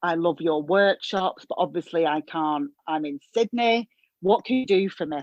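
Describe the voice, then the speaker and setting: A woman with a Northern English accent, at a moderate pace, with lively intonation. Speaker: hairdresser coach, former therapist. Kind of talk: podcast interview answer.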